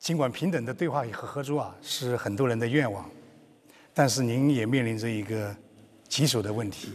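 A man talks at a moderate pace and medium pitch, with ordinary pitch variation, long and frequent pauses, and audible room echo. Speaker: media executive interviewer. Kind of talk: formal interview in Chinese.

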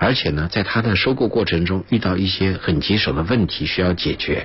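A moderate pace and ordinary pitch variation over noticeable background noise. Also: man. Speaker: international relations commentator and former diplomatic interpreter. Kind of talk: radio interview. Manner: frequent filler sounds, measured pace.

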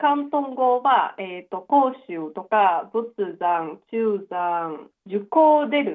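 A woman at a medium pitch speaks very slowly, her pitch swinging very widely and her loudness shifting a great deal. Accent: Chinese. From eastern Guangdong, China (Chaoshan). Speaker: university student. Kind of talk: advice call interview. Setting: phone call.

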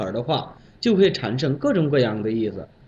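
Somewhat breathy and fairly slow, a man's voice moves through very wide pitch swings. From Bangladesh. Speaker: Chinese language learner. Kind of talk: prepared talk with told anecdote. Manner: animated.

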